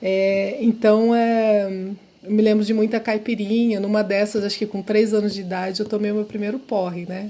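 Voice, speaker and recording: The woman's voice sits fairly high in pitch, moving at a moderate pace with monotone, flat intonation. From interior of São Paulo state, Brazil (Araçatuba). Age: 50s. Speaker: professor of social work. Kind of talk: podcast interview, life story. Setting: podcast recording.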